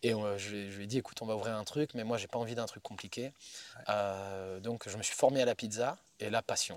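The man's pitch sits fairly low, and his intonation stays fairly even. He talks at a moderate pace. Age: 40s. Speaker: chef and pizza maker. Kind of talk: casual interview. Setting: outdoors in the woods.

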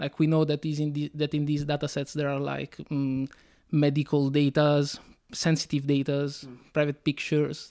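A man with an Italian accent, fairly high pitch, dark, mellow tone and monotone, flat intonation at a moderate pace, dry, close sound with no echo, very clean recording, silent background. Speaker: comic book artist. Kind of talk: interview. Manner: hesitant, many fillers.

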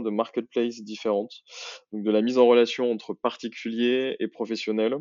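His intonation stays monotone and flat. The man talks at a moderate pace with a medium pitch. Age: 30s. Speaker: marketing executive at a startup. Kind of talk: interview. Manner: hesitant, many fillers.

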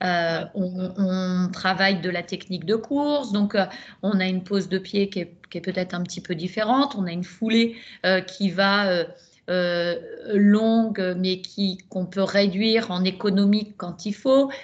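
Against a quiet background, a woman at medium pitch speaks very slowly in a somewhat breathy voice with fairly even intonation. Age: 50s. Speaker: ultrarunner. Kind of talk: casual chat.

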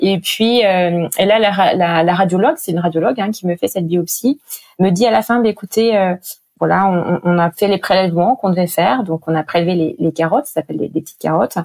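A woman's fairly quick, medium-pitched voice with ordinary pitch variation, in a dry, close sound with no echo. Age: 40s. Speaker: breast cancer survivor and charity project officer. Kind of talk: personal testimony interview. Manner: hesitant, many fillers.

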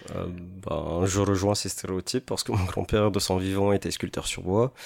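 A man with a very deep, low pitch talks in a monotone with flat intonation. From French Polynesia (Marquesas, then Tahiti). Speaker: painter and sculptor. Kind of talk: interview.

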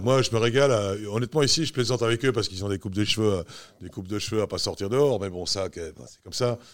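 In a very clean recording with a silent background, a man with a fairly low pitch and ordinary pitch variation talks at a very fast pace. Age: 60s. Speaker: basketball coach. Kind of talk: interview. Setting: at his home. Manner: hesitant, many fillers.

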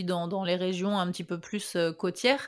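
The pace is fairly slow. It is an ordinary speaking voice. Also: woman. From France, Ardennes (north-east). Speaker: podcast host. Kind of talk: casual interview chat.

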